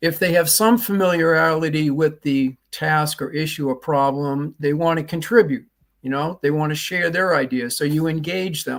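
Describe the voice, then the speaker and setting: The speaker talks at a moderate pace with a Boston accent. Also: man, fairly high pitch for a man, ordinary pitch variation, hardly any pauses, very clean recording, silent background. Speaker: leadership trainer and author. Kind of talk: interview.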